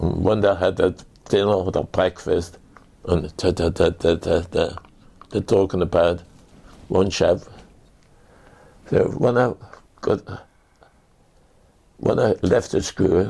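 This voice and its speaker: At a fairly slow pace with long, frequent pauses, a man speaks in a very deep, low pitch, keeping his intonation fairly even and his loudness very even. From Germany. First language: German. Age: 80s+. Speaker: war veteran. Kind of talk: testimony. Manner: halting.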